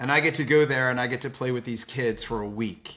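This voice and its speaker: A man speaks in a plain, everyday voice at medium pitch and a moderate pace. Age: 60s. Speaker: philanthropist. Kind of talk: interview.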